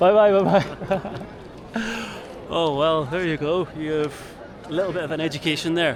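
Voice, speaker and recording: A man with an Irish accent and fairly high pitch at a moderate pace, fairly even intonation and long, frequent pauses, amid noticeable background noise and audible room echo. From Ireland. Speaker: travel vlogger. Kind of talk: casual street interview.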